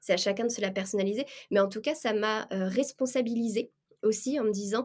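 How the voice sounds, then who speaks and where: A woman with an unremarkable speaking voice, ordinary pitch variation, and a moderate pace. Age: 30s. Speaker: freelance administrative assistant. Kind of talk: interview.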